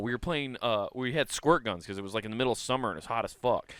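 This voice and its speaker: Recorded very cleanly against a silent background, an animated voice with a Midwestern US accent speaks at a very fast pace. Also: man. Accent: US Midwest. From Iowa, Sioux City area. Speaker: comedy podcast co-host. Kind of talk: casual chat. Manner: stutters at times.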